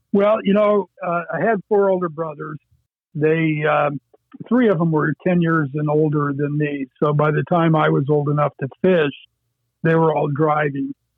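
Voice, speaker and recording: In an American accent, a plain, everyday voice moves at a moderate pace with ordinary pitch variation and very even loudness. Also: man, fairly high pitch for a man. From Erie County, western New York / Great Lakes. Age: 60s. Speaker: fly fishing angler. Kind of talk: interview.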